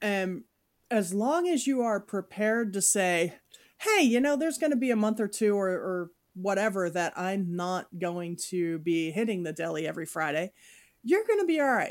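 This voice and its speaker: A woman with an ordinary speaking voice talks at a moderate pace in a medium pitch, her intonation lively. The recording is very clean, with a silent background. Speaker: podcast host. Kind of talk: casual chat.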